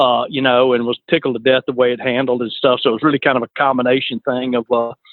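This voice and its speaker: Speaking in an Alabama accent, a man talks at a very fast pace. His medium-pitched delivery is monotone and flat. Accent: Alabama Southern. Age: 50s. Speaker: fishing charter captain. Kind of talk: casual chat.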